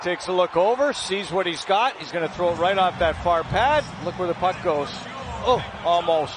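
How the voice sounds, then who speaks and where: Noticeable background noise sits under this man's voice. He has a high pitch, ordinary pitch variation and a moderate pace. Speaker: hockey color analyst. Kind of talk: live sports commentary, analysis of replays. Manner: animated, conversational, explanatory.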